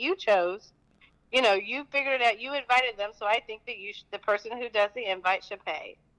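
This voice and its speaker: With lively intonation, a woman talks in an American accent. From Fort Worth, Texas. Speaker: caller. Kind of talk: call-in discussion. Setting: phone call.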